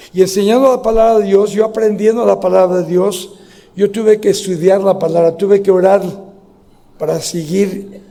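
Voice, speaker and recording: A high-pitched man at a moderate pace, with noticeable background noise. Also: fairly even intonation. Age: 70s. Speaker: pastor. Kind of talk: sermon. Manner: halting.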